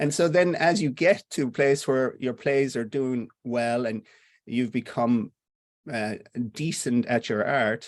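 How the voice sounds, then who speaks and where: A man's medium-pitched voice, fairly slow pace and West of Ireland accent. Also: ordinary pitch variation, quiet background. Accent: West of Ireland Irish. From Ireland, Connemara (Clifden). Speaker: playwright. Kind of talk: interview conversation.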